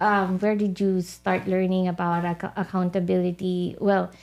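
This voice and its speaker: The loudness stays very even throughout. The recording is very clean, with a silent background. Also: woman. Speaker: podcast guest host. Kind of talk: podcast interview questions.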